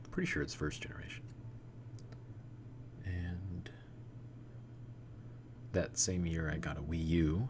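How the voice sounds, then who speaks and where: Lively intonation carries over music playing in the background. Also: man. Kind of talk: ASMR live stream chat. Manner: whispered.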